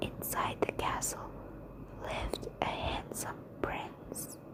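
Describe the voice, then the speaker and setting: The speaker whispers at a very slow pace. Noticeable background noise can be heard. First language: not English. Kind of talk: whispered ASMR bedtime story reading. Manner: whispered.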